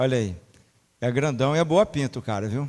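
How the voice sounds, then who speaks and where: In a very clean recording with a silent background, a man talks at a moderate pace, fairly high in pitch. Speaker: church member leading prayer. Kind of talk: introducing a guest speaker; prayer.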